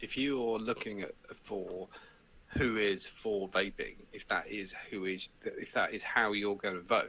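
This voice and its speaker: Someone with an English accent talks at a fairly slow pace. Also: man. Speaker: vaping show host, interview guest. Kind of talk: casual chat. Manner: animated.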